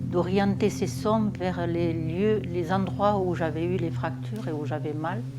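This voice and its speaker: A woman with a very deep, low pitch speaks at a very slow pace with hardly any pauses and very wide pitch swings. Noticeable background noise and audible room echo fill the recording. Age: 70s. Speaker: somatic practice group participant. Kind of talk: interview testimony. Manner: halting, many hesitations.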